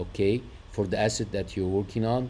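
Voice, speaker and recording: This man speaks with an Arabic accent. His voice is fairly low-pitched, with a dark, mellow tone. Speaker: trading indicator developer. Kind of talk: screen-share tutorial. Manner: hesitant, many fillers.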